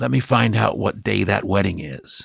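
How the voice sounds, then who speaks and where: At a moderate pace, a man puts on a raspy character voice pitched very deep and low. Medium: read story. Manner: plain, laconic.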